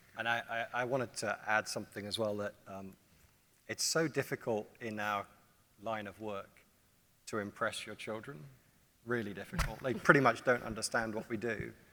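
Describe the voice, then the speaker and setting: With a British accent, a man speaks in a bright, sharp tone, taking long, frequent pauses, his loudness swinging widely and his pitch varying in an ordinary way. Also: medium pitch for a man, moderate pace. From UK. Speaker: tech company executive. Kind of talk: panel discussion. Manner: halting.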